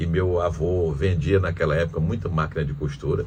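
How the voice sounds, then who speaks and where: A man with a very deep, low pitch talks at a moderate pace. The recording has audible room echo and noticeable background noise. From Piauí, Brazil (Teresina). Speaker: former senator and businessman. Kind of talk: interview. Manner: halting, with many restarts.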